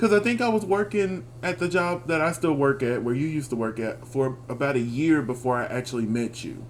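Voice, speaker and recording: An animated man with an American accent speaks at a medium pitch, his intonation lively. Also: fairly quick pace, hardly any pauses. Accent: Southern, natural, thicker outside Texas. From Texas. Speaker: podcast co-host. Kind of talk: casual chat.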